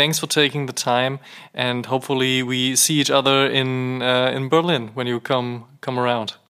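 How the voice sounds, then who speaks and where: A man with a German accent talks at a moderate pace and a medium pitch. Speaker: podcast host. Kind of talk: interview.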